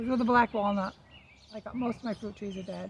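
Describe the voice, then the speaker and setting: Noticeable background noise runs beneath a soft-spoken voice. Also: woman. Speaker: lifestyle vlogger. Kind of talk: casual chat. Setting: outdoors. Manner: hesitant.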